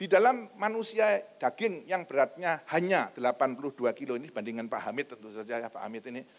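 A man's pitch swings very widely. He speaks at a fairly quick pace. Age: old. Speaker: pastor. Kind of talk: sermon. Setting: church.

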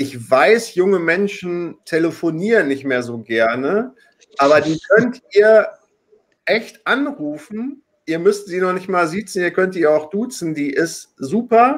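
This man speaks very slowly in a high voice, his pitch swinging very widely. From Hamburg. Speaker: online talk show host. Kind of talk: live talk show moderation. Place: home room. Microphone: webcam.

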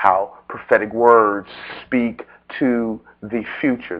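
Over a quiet background, a man with a plain, everyday voice speaks at a fairly low pitch with ordinary pitch variation. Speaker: preacher. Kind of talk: sermon. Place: church.

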